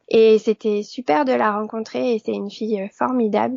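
In an ordinary speaking voice, a woman talks at a fairly slow pace with a medium pitch and ordinary pitch variation. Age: 40s. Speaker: sewing blogger and pattern designer. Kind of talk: interview.

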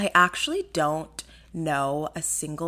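A woman's very deep, low voice with a bright, sharp tone, animated delivery, ordinary pitch variation and a fairly slow pace. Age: 20s. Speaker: podcast host. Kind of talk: casual monologue.

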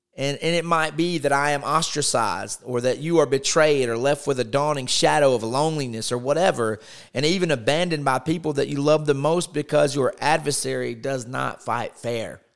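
A man with an ordinary speaking voice talks at a fairly quick pace, with hardly any pauses. His pitch is fairly high and his intonation fairly even. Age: 30s. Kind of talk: devotional talk.

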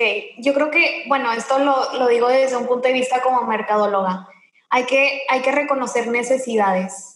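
A woman speaks at a high pitch and a moderate pace, with ordinary pitch variation and very even loudness. Audible room echo surrounds her voice. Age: 20s. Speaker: entrepreneur and image consultant. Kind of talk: interview. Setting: remote call from home.

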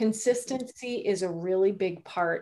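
A woman with a Canadian accent has an unremarkable speaking voice. Her pitch is medium, with ordinary pitch variation. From Canada. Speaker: sales and networking coach, entrepreneur. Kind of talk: interview.

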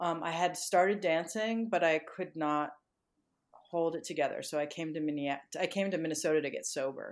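In an ordinary speaking voice, a woman with an American accent talks at a moderate pace, her fairly low pitch held to fairly even intonation. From US Northeast (Connecticut). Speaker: dancer and choreographer. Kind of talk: interview.

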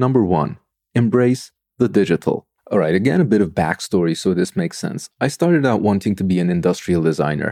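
A man's dark, mellow voice with a Turkish accent, fairly quick and lively in intonation, dry and close with no echo. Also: fairly low pitch for a man. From Turkey, Istanbul. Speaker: design podcaster and former design researcher. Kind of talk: solo podcast monologue. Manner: animated.

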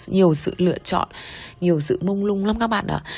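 At a fairly quick pace, the woman speaks with a somewhat breathy quality. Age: 30s. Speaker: hospital executive. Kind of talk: personal testimony.

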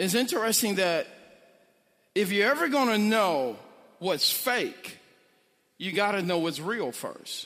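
In an American accent, a man speaks at a fairly slow pace with long, frequent pauses and a high pitch. His tone is animated and his intonation lively, with audible room echo around him. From St. Louis, Missouri (North St. Louis). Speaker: pastor. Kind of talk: sermon.

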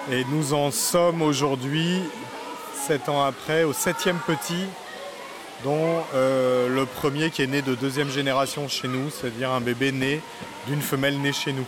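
A man with a fairly high voice speaks with fairly even intonation and long, frequent pauses. Noticeable background noise runs underneath. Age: 40s. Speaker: zoo director and veterinarian. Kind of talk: guided tour explanation. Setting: inside a tropical zoo greenhouse. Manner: hesitant, many fillers and repetitions.

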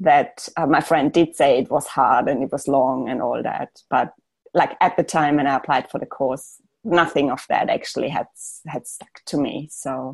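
A woman speaks with a German accent. Her pitch is very deep and low, and her pace is moderate. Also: ordinary pitch variation. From Austria. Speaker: architect. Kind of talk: casual interview chat. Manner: hesitant, many fillers.

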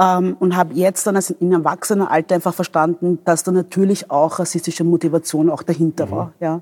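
Fairly low-pitched and dark, mellow in tone, a woman talks at a fairly quick pace with fairly even intonation and hardly any pauses. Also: dry, close sound with no echo. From Vienna, Austria. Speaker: doctor and politician. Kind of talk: interview.

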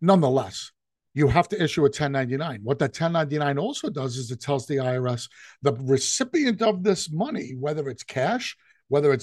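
Against a quiet background, a man with a fairly high pitch talks at a moderate pace, somewhat breathy, with lively intonation. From New York. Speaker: business consultant and podcast host. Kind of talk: informal business talk, solo podcast monologue. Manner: conversational, explanatory.

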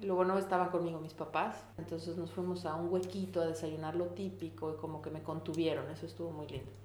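With audible room echo and noticeable background noise, a voice with a Mexican accent rushes along at a very fast pace with hardly any pauses and lively intonation. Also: woman, very deep, low pitch for a woman. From Mexico, Puebla. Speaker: veterinarian and photographer. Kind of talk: casual interview. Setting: home kitchen.

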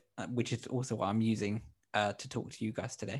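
An English accent marks this man's speech, captured in a very clean recording with a silent background. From England, born in Colombia. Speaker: pianist. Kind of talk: music production tutorial.

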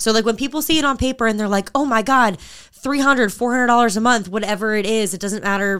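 A woman talks at a very fast pace with hardly any pauses. Her pitch is fairly high, with ordinary variation. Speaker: fitness podcast co-host and group training coach. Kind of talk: casual chat. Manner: loud.

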